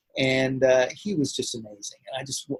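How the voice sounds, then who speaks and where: Speaking with a General American accent, a man at medium pitch talks at a moderate pace in a somewhat breathy voice. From Los Angeles, US. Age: 50s. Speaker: actor and martial arts master. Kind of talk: interview.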